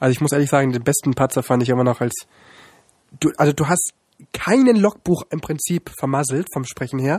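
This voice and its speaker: A man talks at a fairly quick pace with a fairly high pitch and a somewhat breathy quality. The sound is dry and close, with no echo. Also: ordinary pitch variation. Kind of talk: casual chat.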